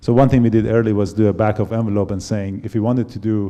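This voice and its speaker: With a Persian accent, the speaker talks at a fairly quick pace in a dark, mellow tone and fairly even intonation. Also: man. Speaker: company founder and CEO. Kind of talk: panel talk. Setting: stage with audience. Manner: halting.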